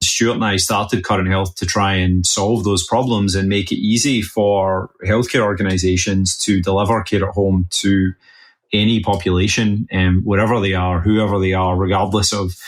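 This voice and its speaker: In a Scottish accent, a man with fairly low pitch speaks at a moderate pace in a flat monotone, his loudness very even on a very clean recording with a silent background. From west coast of Scotland. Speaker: health tech CEO. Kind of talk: interview.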